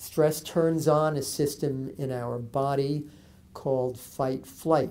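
The voice belongs to a man. It carries a dark, mellow tone. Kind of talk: interview answer. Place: studio.

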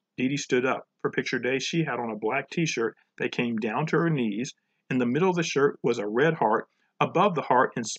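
An unstrained voice reads against a quiet backdrop.

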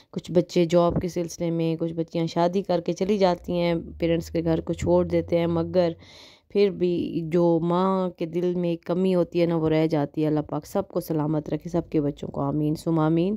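A woman speaks fairly slowly with hardly any pauses, her fairly low voice dark and mellow in tone and her intonation monotone and flat. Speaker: vlogger. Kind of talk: vlog narration.

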